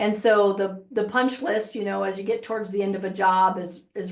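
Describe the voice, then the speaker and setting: At a medium pitch, a woman talks with fairly even intonation. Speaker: software consultant. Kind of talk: software demo webinar. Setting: webinar. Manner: fast.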